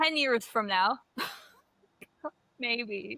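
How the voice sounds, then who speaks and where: A woman with a high pitch speaks very slowly in a raised, projected voice with a bright, sharp tone and a confident tone. Her pitch swings very widely, and the sound is dry and close with no echo. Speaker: podcast co-host. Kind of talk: casual chat. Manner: confident and loud.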